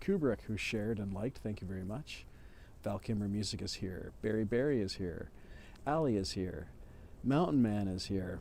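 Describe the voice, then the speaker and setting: In a room with audible echo, a man with a dark, mellow tone and fairly low pitch speaks at a moderate pace with ordinary pitch variation. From Canada. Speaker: musician livestreamer. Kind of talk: casual livestream chat.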